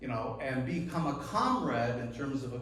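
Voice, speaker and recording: A man speaks at a fairly slow pace and medium pitch, with audible room echo and noticeable background noise. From US Midwest, northern Minnesota. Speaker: activist and author, guest speaker. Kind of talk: public talk. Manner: frequent hesitations and repetitions.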